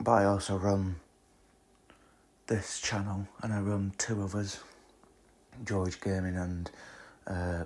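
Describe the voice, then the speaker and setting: A man's very deep, low voice, somewhat breathy, flat and monotone, at a fairly slow pace. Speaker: podcast host and amateur video creator. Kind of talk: casual solo podcast chat.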